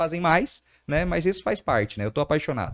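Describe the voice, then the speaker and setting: With a quiet background, a man talks at a very fast pace and a fairly high pitch. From Brazil, outside Rio Grande do Sul (border city). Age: 30s. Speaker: entrepreneur. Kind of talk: podcast interview.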